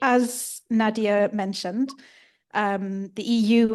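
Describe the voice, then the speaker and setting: Against a quiet background, a woman speaks at a medium pitch with fairly even intonation. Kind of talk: workshop presentation. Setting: workshop with audience. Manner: fast.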